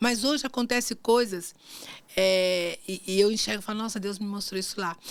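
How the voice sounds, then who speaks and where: On a very clean recording with a silent background, a woman uses an ordinary speaking voice, fairly high in pitch, with ordinary pitch variation at a moderate pace. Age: 60s. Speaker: marketing agency owner and former lawyer. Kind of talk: faith podcast interview.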